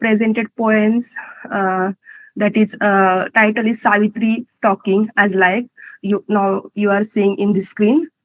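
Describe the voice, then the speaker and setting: The speaker talks at a fairly slow pace with a Marathi accent. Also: woman. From India, Maharashtra (Pune). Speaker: poet and office employee. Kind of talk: prepared talk at a company event. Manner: halting, with restarts.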